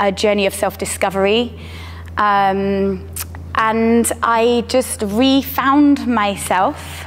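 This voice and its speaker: A woman with a southern English accent speaks at a very slow pace and at a very even loudness. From southern England. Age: 30s. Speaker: strength coach and athlete. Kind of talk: personal testimony interview.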